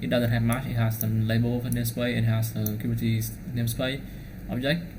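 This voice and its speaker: This man's voice carries an audible echo from the room. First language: Vietnamese. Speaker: DevOps engineer. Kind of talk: tutorial. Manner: fast; halting.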